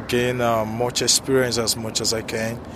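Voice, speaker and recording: Noticeable noise sits behind a man speaking at a moderate pace. His voice has a medium pitch. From Africa. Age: 30s. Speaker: international student and business owner. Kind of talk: casual street interview. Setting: outdoors on a university campus. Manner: halting, with many fillers.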